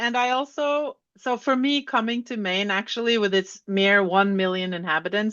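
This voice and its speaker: With a Norwegian accent, a woman talks in a fairly high voice. Her pace is moderate and her pitch variation ordinary. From Norway, Oslo. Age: 60s. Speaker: author and educator. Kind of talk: interview conversation.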